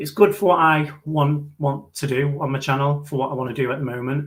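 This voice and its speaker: A man speaks with a northern English accent, somewhat breathy. His intonation stays fairly even. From northern England. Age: late 20s. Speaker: YouTuber. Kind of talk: live stream Q&A. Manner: fast.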